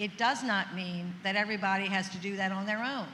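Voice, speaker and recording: A woman's medium-pitched, monotone, flat voice amid audible room echo and noticeable background noise. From New Orleans. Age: 70s. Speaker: senator. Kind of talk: panel discussion.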